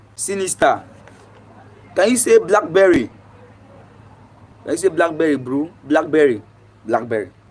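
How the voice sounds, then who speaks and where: Over noticeable background noise, a man with a Nigerian accent speaks at a fairly high pitch and moderate pace, with very wide pitch swings and long, frequent pauses. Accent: fluent English, Nigerian. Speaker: livestreamer. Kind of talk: casual chat. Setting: live stream.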